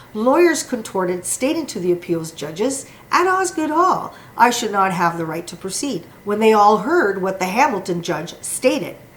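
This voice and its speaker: Her pitch swings very widely around a medium level. The woman talks at a moderate pace. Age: 60s. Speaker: former liquor store employee, litigant. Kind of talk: prepared statement. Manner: formal.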